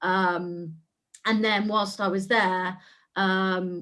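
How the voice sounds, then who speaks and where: A woman speaks with an English Midlands accent. Her pitch is medium. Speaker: civil servant. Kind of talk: webinar panel talk.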